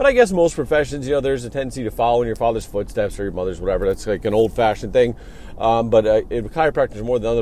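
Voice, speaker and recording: Very fast talking from a man, with noticeable background noise. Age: 30s. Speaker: podcast host and clinic owner. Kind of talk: solo podcast monologue. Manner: casual with frequent fillers.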